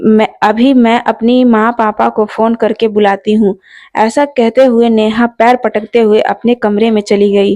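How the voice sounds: This is a natural reading voice. It reads the text through.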